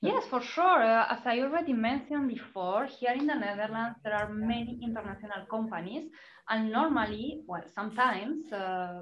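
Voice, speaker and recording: At a moderate pace, a woman with a fairly high pitch speaks with ordinary pitch variation amid audible room echo. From Spain, Salamanca. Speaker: recruitment consultant. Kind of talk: webinar Q&A.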